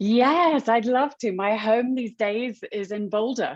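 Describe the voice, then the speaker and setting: A woman speaks with a British accent. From United Kingdom. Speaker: author and nonprofit founder. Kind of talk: interview. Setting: video call webinar.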